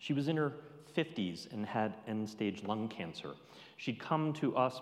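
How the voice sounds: What we hear is a natural reading voice.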